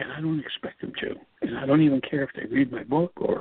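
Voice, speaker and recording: A man is speaking. His pace is fairly quick. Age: 60s. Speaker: radio host and author, father of a chronically ill child. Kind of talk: solo talk radio monologue. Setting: radio studio. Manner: halting, with frequent repetitions and fillers.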